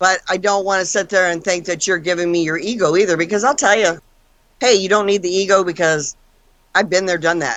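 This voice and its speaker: A woman speaks at medium pitch and a fairly quick pace. Hers is a normal speaking voice with fairly even intonation. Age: 60s. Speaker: paranormal investigator. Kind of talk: casual chat.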